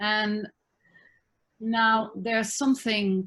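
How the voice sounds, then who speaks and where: A woman speaks in a somewhat breathy voice against a quiet background. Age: 60s. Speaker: spiritual teacher and therapist. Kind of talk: interview conversation. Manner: halting.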